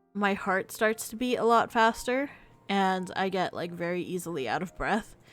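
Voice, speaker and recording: Music plays in the background as a woman speaks at a moderate pace. Her pitch is medium, with ordinary variation. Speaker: vtuber game streamer. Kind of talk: reading game text aloud; casual chat with stream viewers. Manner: breathing heavily.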